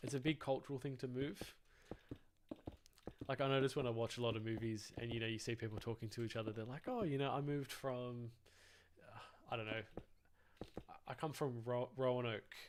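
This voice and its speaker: A man with an Australian accent at medium pitch, fairly quick in pace, with long, frequent pauses. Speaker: gaming livestreamer. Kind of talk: casual chat while gaming livestream. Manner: animated, halting with many fillers.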